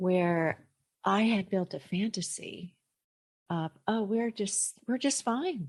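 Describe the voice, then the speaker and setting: A woman's somewhat breathy, medium-pitched voice at a very slow pace, with long, frequent pauses, very even loudness and a quiet background. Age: 60s. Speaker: listener. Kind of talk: testimony.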